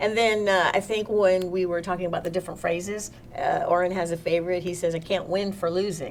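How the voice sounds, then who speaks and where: An American-accented woman of medium pitch talks at a fairly quick pace with hardly any pauses and monotone, flat intonation. Noticeable background noise sits behind her. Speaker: spiritual workshop host. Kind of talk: live online workshop with chat.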